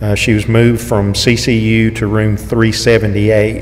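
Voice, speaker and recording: Over light background noise, a man speaks in a fairly low voice with monotone, flat intonation. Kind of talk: church announcements. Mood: calm, caring. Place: church. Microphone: podium.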